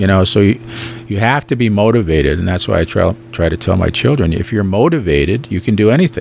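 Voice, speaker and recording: The speech comes at a very fast pace with lively intonation. Noticeable background noise runs underneath. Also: man, fairly low pitch for a man. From Standing Rock, North/South Dakota (Lakota). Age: 60s. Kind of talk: radio interview. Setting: radio studio. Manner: conversational, many fillers.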